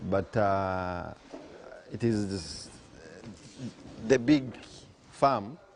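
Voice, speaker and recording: A man is speaking. He has a Ugandan accent. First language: Luganda. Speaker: farm owner and CEO. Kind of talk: farm talk to visiting farmers.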